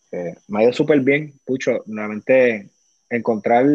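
A man with a Puerto Rican accent, medium pitch, ordinary pitch variation and a moderate pace. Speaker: former pro baseball player. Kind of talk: casual interview.

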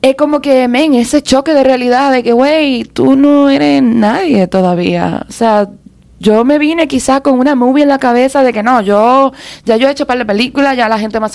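A woman at a high pitch, with ordinary pitch variation. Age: 30s. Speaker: media personality and content creator. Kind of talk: casual chat.

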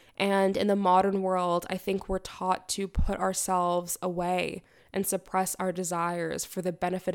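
An unremarkable speaking voice with a Canadian accent, fairly even intonation and a moderate pace, on a very clean recording with a silent background. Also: woman, hardly any pauses. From Canada. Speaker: podcast host, theorist and writer. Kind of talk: solo reflective monologue.

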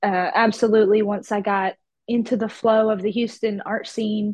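A woman speaks in a Southern US accent. Her pitch is fairly high, and her intonation stays monotone and flat. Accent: Southern US, country. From Georgia, US South. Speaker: artist. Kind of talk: casual podcast interview. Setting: video call.

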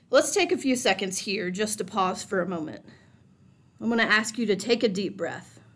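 A woman speaks at medium pitch. Hers is an ordinary speaking voice. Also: ordinary pitch variation. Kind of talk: guided meditation. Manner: slow, calm, soothing, gently paced with pauses.

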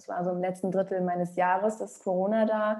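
The woman's voice has a medium pitch and a dark, mellow tone. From Rostock, northern Germany. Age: 30s. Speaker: singer and former talent show finalist. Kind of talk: interview. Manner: hesitant with fillers.

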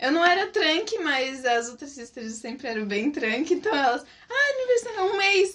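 Against noticeable background noise, a woman talks at a moderate pace and high pitch, with very wide pitch swings and big swings in loudness. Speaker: former missionary. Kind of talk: casual chat. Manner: animated.

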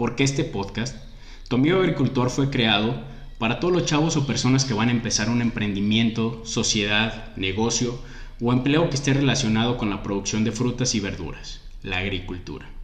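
Noticeable background noise and audible room echo around a man's medium pitch, moderate pace and ordinary pitch variation. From Mexico. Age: 20s. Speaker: agronomist podcast host. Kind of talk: scripted podcast intro.

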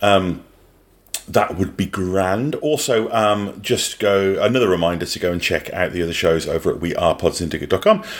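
At a moderate pace, a man with a Birmingham accent speaks with a fairly low pitch and ordinary pitch variation. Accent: British English, Birmingham. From English Midlands. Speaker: podcast co-host. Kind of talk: casual chat.

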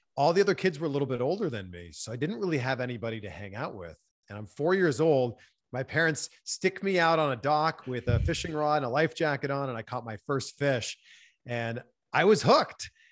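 On a very clean recording with a silent background, a man with an unremarkable speaking voice and a Canadian accent talks at a fairly quick pace in a fairly high pitch, with lively intonation and big swings in loudness. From Ontario, Canada. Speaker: TV host and interviewer. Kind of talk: interview.

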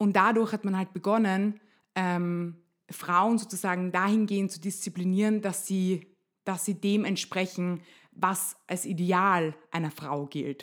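A woman with an ordinary speaking voice, medium in pitch, fairly slow and fairly even in intonation, on a very clean recording with a silent background. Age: 20s. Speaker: nurse and body image activist. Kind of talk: interview. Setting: home kitchen.

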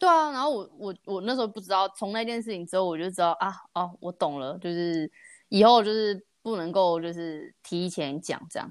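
With an ordinary speaking voice, a woman with a medium pitch talks at a moderate pace, using lively intonation and big swings in loudness. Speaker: podcast host. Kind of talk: casual chat.

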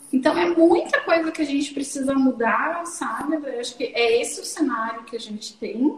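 A woman speaks in a high voice with lively intonation at a moderate pace, with hardly any pauses. Noticeable background noise is present. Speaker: psychologist and sexologist, podcast host. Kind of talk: casual interview conversation.

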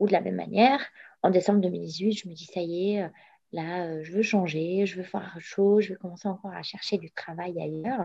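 Her tone dark and mellow, a woman at medium pitch keeps fairly even intonation and a moderate pace, with big swings in loudness. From Morocco. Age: 30s. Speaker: entrepreneur. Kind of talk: interview. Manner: halting.

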